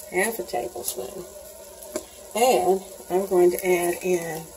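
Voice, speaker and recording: A woman's voice over light background noise. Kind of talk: tutorial. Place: kitchen.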